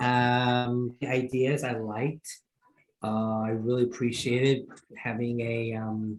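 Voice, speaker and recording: Speaking with a New York accent, a man keeps a monotone, flat intonation at a medium pitch and a fairly slow pace. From Queens, New York. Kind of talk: meeting feedback.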